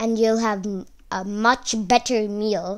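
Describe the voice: This is plain reading aloud. Nothing more is measured.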